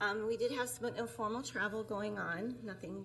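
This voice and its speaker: A woman speaks at a moderate pace. Room echo and background noise are both noticeable. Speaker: tourism bureau director. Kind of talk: presentation to city council. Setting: city council meeting, microphone. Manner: soft-spoken.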